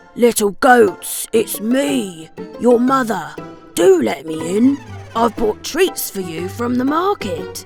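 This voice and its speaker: Over clear music in the background, a man uses a gruff, put-on character voice with a high pitch at a fairly slow pace. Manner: feigned sweetness.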